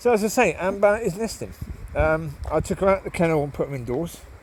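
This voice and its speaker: A man speaks at a high pitch. Noticeable background noise can be heard. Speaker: vlogger. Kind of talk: casual monologue while walking dogs. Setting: outdoors in woods. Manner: hesitant, many fillers.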